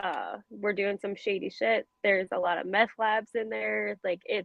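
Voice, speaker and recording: Speech in a Baltimore accent moves along at a moderate pace. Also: woman. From Baltimore, Maryland. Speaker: true crime podcast co-host. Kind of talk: casual chat.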